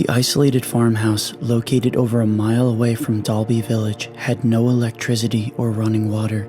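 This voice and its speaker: Over background music, a man with a medium pitch talks fairly quickly in a flat monotone, his loudness very even and his pauses scarce. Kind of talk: documentary mystery narration.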